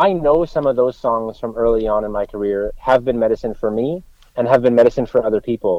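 At a fairly quick pace, a man with a Canadian accent and a normal speaking voice talks at medium pitch with ordinary pitch variation. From Canada. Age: 40s. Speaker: country singer-songwriter. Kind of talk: casual interview.

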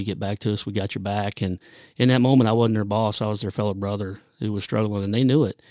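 Talking at a very fast pace, a man with an American accent has a fairly low pitch and a dark, mellow tone. The sound is dry and close with no echo, in a very clean recording with a silent background. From Ohio, US Midwest. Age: 50s. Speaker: firefighter. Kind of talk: interview.

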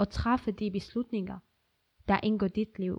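The woman's fairly high voice comes through over a quiet background. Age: 20s. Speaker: activist. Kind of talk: personal essay reading.

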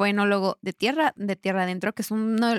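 A woman's fairly high voice at a very fast clip, with fairly even intonation, dry and close with no echo, on a very clean recording over a silent background. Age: 20s. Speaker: wine podcast co-host. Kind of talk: casual chat.

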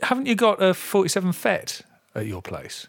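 The speaker has an English Midlands accent and a moderate pace. The recording is very clean, with a silent background. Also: man. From English Midlands, near Coventry. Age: 50s. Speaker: podcast host. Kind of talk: casual chat. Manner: halting, many fillers and restarts.

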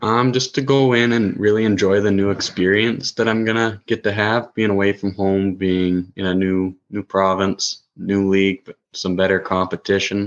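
Speaking at a moderate pace with hardly any pauses, a man with a Canadian accent keeps his intonation fairly even. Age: 20s. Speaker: junior hockey goaltender. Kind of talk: podcast interview. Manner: hesitant, many ums.

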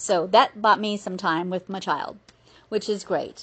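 A woman with a medium pitch speaks over a quiet background. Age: 50s. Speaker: podcast host and certified life coach. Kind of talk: solo monologue, personal podcast.

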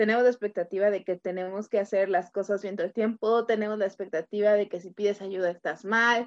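A woman's medium-pitched, monotone delivery at a fairly quick pace with hardly any pauses, the sound dry and close with no echo. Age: 30s. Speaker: podcast co-host. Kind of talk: casual chat.

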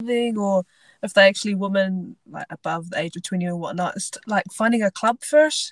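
A woman speaks with a Southland New Zealand accent at a moderate pace. The sound is dry and close, with no echo. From New Zealand, Invercargill (far south). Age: 20s. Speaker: rugby sevens player, Olympic athlete. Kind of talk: casual interview.

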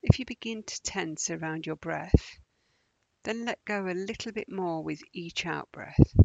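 A woman speaks with an ordinary speaking voice and a fairly low pitch. Her pace is fairly slow, her pitch variation ordinary, and her loudness swings widely. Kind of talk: guided meditation. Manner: slow, calm, soothing, with long pauses between gentle instructions; soft-spoken, even, unhurried.

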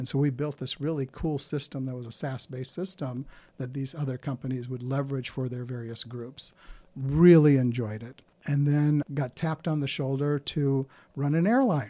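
Fairly high in pitch, a man's dark, mellow voice moves at a moderate pace with fairly even intonation. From India, moved to South Dakota at eleven. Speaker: business consultant, former corporate executive. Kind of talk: interview. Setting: studio.

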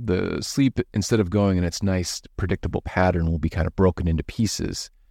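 A man's very deep, low voice, with ordinary pitch variation, keeps a moderate pace on a very clean recording against a silent background. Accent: Upper Midwest. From Minnesota, US. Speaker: physician podcast host. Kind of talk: casual educational chat.

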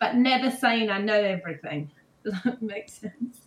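A woman speaks with a New Zealand accent. Her pitch varies in an ordinary way. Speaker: show jumper and horse trainer. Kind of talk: casual interview chat.

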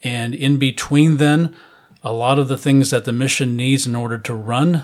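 A man with an ordinary speaking voice talks at a moderate pace, his intonation fairly even. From US Midwest, Chicago area. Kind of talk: interview.

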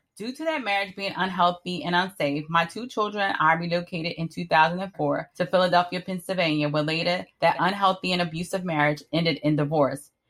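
A woman's normal speaking voice with an American accent, fairly low in pitch, at a fairly quick pace with fairly even intonation and hardly any pauses. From Miami, Florida. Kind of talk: scripted narration.

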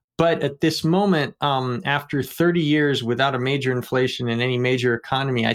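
A man with a normal speaking voice, medium in pitch, fairly even in intonation, at a fairly quick pace. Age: 40s. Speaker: economics textbook author, podcast co-host. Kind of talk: casual discussion.

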